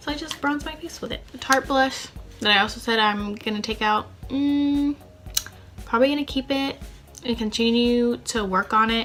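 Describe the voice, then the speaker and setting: A woman at a high pitch, moderate pace and ordinary pitch variation, with music in the background. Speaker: beauty vlogger. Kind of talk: casual vlog talk.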